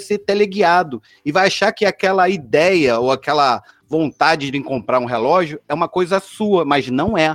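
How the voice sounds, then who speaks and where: The man's voice is high-pitched, with an animated tone and lively intonation. His moderate-paced speech has a dry, close sound with no echo. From Rio de Janeiro suburbs, Brazil. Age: 40s. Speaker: designer and innovation leader. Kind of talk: casual chat.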